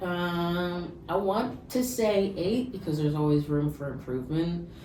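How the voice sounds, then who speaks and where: With an American accent, a woman with a fairly low voice talks at a fairly slow pace with lively intonation, amid noticeable background noise and audible room echo. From New Jersey (Bergen County, North Jersey). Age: 20s. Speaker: person in addiction recovery. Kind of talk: casual interview.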